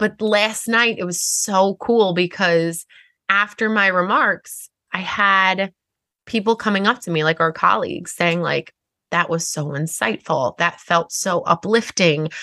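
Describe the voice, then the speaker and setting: A woman with a Long Island accent speaks at a fairly slow pace in a bright, sharp tone. The background is quiet. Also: medium pitch for a woman, ordinary pitch variation, dry, close sound with no echo. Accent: Long Island accent with long Rs. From Long Island, New York. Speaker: podcast co-host and lawyer. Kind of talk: casual chat.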